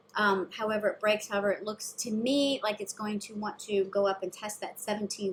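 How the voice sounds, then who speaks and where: A woman talks at a fairly high pitch. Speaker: stock market commentator. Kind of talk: market analysis talk. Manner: fast.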